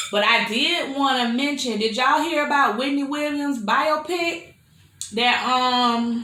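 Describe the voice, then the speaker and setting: Amid noticeable background noise and audible room echo, a woman speaks at a fairly slow pace with ordinary pitch variation. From Florida. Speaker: mukbang youtuber. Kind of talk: casual chat while eating. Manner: chatty, conversational.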